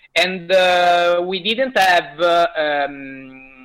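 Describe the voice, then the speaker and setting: A man talks with an Italian accent at a high pitch. His pitch variation is ordinary. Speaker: indie game developer. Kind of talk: interview. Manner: halting, many fillers.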